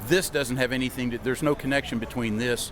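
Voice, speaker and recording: With music in the background, a man with an American accent speaks at a very fast pace and a medium pitch. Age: 60s. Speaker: gun rights supporter interviewee. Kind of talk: street interview.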